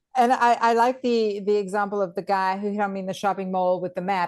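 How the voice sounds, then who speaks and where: With a quiet background behind her, a woman talks fairly quickly in an unremarkable speaking voice, medium in pitch, her intonation fairly even. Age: 50s. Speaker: dating coach and channel host. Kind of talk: casual chat.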